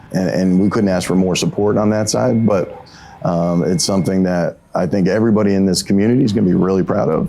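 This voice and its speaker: Delivered at a very fast pace with very even loudness and ordinary pitch variation, the speech sits over noticeable background noise. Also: man, very deep, low pitch for a man. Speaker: construction project leader. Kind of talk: documentary interview.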